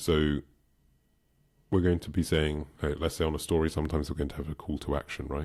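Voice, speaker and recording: A man speaks at a very fast pace in a very deep, low pitch with vocal fry and a monotone, flat intonation. Long, frequent pauses break it up, on a very clean recording with a silent background. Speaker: online business coach. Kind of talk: tutorial.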